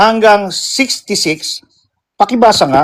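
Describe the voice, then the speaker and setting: A man speaks very slowly. His pitch is high. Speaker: religious apologetics streamer. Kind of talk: religious debate on live call.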